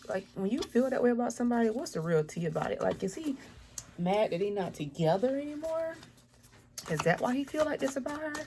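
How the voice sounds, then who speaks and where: With a dark, mellow, somewhat breathy tone, a woman lets her pitch swing very widely. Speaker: tarot reader. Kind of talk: tarot reading. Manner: fast.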